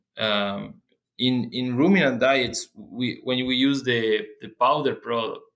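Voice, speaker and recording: In a Spanish accent, a man speaks at a very slow pace with ordinary pitch variation. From Argentina. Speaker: animal nutrition researcher. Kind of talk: interview. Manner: halting, many fillers and repeats.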